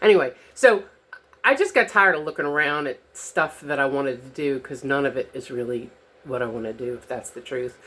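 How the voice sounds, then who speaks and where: At a very fast pace, a woman speaks with a very deep, low pitch on a very clean recording with a silent background. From New Orleans. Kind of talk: casual talk to camera. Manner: rambling, hesitant.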